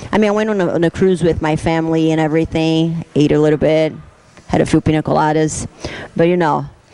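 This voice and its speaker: With a Brazilian Portuguese accent, a woman talks at a fairly quick pace in a monotone, flat intonation over noticeable background noise. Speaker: fitness competitor. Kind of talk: casual interview talk. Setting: gym. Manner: halting.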